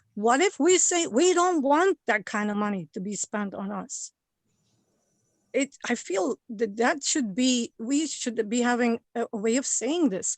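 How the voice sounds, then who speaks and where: In a quiet background with a dry, close sound and no echo, a woman with a non-native accent speaks at a fairly slow pace, her high pitch marked by lively intonation. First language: not English. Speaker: member of the public giving comment. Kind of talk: public comment at a government meeting. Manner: halting, many repeated words.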